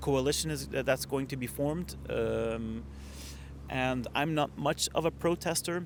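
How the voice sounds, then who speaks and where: Speaking at a very slow pace, a man talks with a Flemish accent. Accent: Flemish Belgian. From Ghent, Belgium. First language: Dutch. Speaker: hospitality entrepreneur. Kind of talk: podcast interview answer. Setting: outdoors. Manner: hesitant, many filler sounds.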